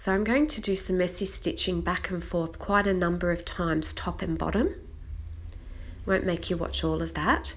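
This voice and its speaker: A woman with an Australian accent at a moderate pace, with audible room echo. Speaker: scrapbooking crafter. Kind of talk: tutorial.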